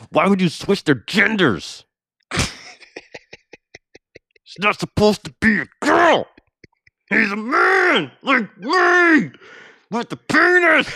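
An angry tone comes through in this put-on character voice. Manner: angry, jaws clenched, speaking through teeth.

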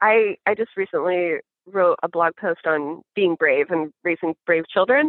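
A woman uses a normal speaking voice at a fairly low pitch and fairly slow pace, with ordinary pitch variation and big swings in loudness. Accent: American. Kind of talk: casual chat.

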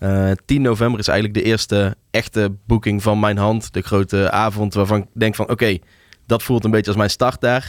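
On a very clean recording with a silent background and a dry, close sound with no echo, a man speaks at a fairly quick pace in a fairly low pitch with monotone, flat intonation and very even loudness. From Tilburg, Netherlands. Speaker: music programmer and DJ. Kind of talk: casual interview. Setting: studio.

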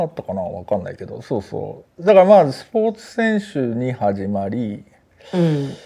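At a moderate pace, a man with a medium pitch and a dark, mellow tone talks with very wide pitch swings and big swings in loudness. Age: 50s. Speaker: podcast co-host. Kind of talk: casual chat.

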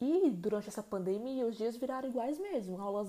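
A woman speaks at a moderate pace in a fairly high pitch. Her tone is dark and mellow, with ordinary pitch variation. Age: 20s. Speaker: podcast host. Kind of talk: solo podcast monologue.

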